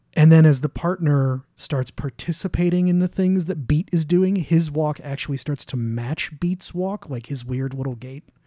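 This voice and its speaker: A man talks at a fairly high pitch with a dark, mellow tone and a somewhat breathy quality. He hardly pauses, and the sound is dry and close with no echo. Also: ordinary pitch variation, moderate pace. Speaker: guest co-host podcaster. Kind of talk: casual chat.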